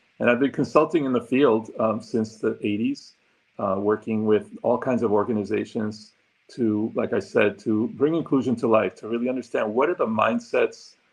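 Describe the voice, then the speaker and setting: Speaking at a fairly quick pace with a Spanish accent, a man keeps a medium pitch and fairly even intonation. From Argentina, then New York and Puerto Rico. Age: 60s. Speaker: diversity consultant and former psychology professor. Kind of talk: interview, self-introduction. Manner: many fillers (um, uh).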